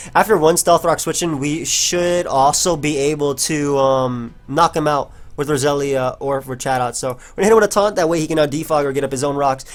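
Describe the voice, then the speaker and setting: At a fairly quick pace, a man with a normal speaking voice and fairly high pitch talks with ordinary pitch variation. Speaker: gaming commentator. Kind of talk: live gameplay commentary. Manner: casual, filler-heavy.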